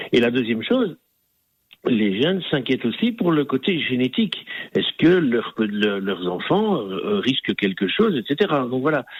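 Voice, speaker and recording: A man with medium pitch speaks at a fairly slow pace. His pitch swings very widely. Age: 40s. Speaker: digital marketing agency owner. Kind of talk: radio interview. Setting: radio studio.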